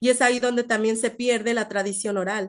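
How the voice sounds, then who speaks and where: Against a quiet background, a woman with a Mexican accent talks at a moderate pace, her fairly high pitch held in fairly even intonation. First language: Nahuatl (speaking Spanish). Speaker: invited speaker, researcher. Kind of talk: online seminar talk, Q&A answer. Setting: live-streamed online seminar. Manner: halting, many fillers and repetitions.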